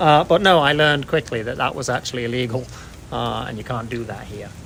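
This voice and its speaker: A man with an English accent talks at a fairly quick pace against noticeable background noise. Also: medium pitch for a man, ordinary pitch variation, big swings in loudness. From England. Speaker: long-time foreign resident. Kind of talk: street interview.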